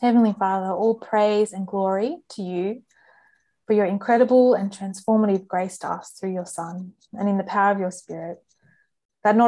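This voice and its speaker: This is a woman with an ordinary speaking voice, pitched in the medium range and keeping fairly even intonation. She talks at a moderate pace on a very clean recording with a silent background. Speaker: campus ministry staff worker. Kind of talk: panel discussion, prayer.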